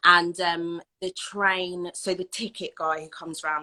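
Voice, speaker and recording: A woman with an English accent speaks in a fairly low pitch with a bright, sharp tone and monotone, flat intonation, in a dry, close sound with no echo. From southern England. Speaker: anti-racism educator. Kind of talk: interview.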